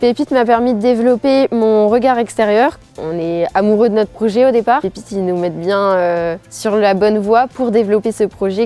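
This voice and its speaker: Music plays in the background as a woman speaks. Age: 20s. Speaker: student entrepreneur. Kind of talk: promotional interview testimony.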